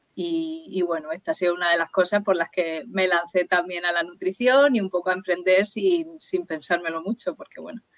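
A woman's ordinary speaking voice at medium pitch and moderate pace, with ordinary pitch variation and a dry, close sound with no echo. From Murcia, Spain. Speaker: nutritionist. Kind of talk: interview.

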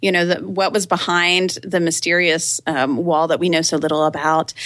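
A woman with an American accent in an ordinary speaking voice, at a medium pitch and moderate pace. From Texas, Austin. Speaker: writer and blogger. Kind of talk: interview conversation.

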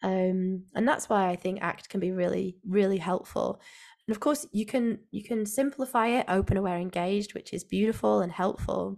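On a very clean recording with a silent background, a woman with a northern English accent speaks at a moderate pace, with a medium pitch and ordinary pitch variation. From Northwest England. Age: 40s. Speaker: physiotherapist and clinical educator. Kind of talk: casual interview.

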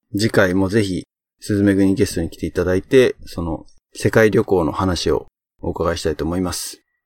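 A plain, everyday voice at a moderate pace, recorded dry and close with no echo. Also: man. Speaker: podcast host. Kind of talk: casual chat.

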